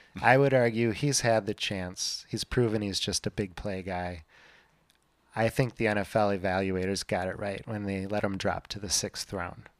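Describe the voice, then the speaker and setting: A man with a plain, everyday voice speaks at a moderate pace in a fairly low pitch and fairly even intonation, recorded with a dry, close sound with no echo on a very clean recording with a silent background. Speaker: fantasy football podcast host. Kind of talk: casual chat.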